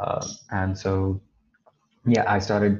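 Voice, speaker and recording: Somewhat breathy delivery carries a monotone, flat intonation throughout. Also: man. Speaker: student guest. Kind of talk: casual discussion.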